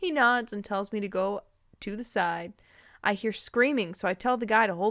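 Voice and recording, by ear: Reading aloud in a natural voice, the speaker uses ordinary pitch variation.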